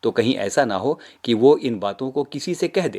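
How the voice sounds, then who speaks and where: A man with a normal speaking voice, medium in pitch and lively in intonation, in a dry, close sound with no echo. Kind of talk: sermon / devotional talk to audience.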